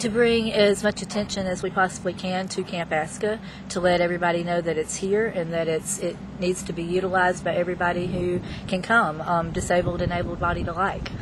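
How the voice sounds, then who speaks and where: A woman with an Alabama accent talks at a fairly quick pace and fairly low pitch in a monotone, flat intonation over noticeable background noise. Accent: Southern US (Alabama). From US South (Alabama, Wilcox County). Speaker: counselor. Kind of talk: interview.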